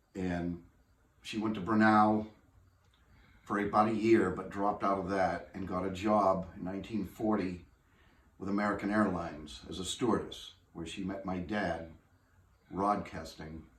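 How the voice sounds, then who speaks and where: A man with a fairly low pitch speaks in a monotone, flat intonation, with big swings in loudness, long, frequent pauses and audible room echo. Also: moderate pace. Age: 60s. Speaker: family heirloom owner. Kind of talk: interview. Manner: halting.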